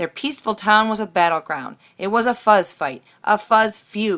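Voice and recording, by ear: The intonation stays fairly even as a passage is read aloud in a natural voice.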